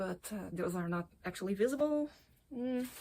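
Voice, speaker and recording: Her voice carries a somewhat breathy quality. This woman talks with a non-native accent. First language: not English. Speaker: vlogger, veterinarian. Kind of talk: casual vlog tutorial. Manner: halting, with self-corrections.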